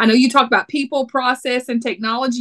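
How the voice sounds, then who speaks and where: A woman with a Texas accent speaks in a fairly high pitch, recorded with a dry, close sound and no echo. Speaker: podcast host. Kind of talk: casual podcast chat. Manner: animated.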